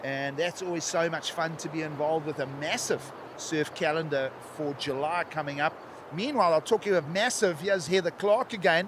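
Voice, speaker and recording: Over noticeable background noise, the speaker talks at a fairly quick pace. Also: man. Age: 60s. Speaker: surf contest commentator. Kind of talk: live commentary.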